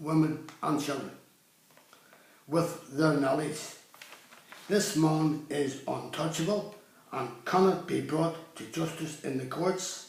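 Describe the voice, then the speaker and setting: A man with a Northern Irish accent speaks at a very slow pace with long, frequent pauses, his fairly high pitch carrying fairly even intonation over noticeable background noise and audible room echo. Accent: Northern Irish (Belfast). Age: 70s. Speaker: campaigner speaking about his own legal case. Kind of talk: video monologue complaint.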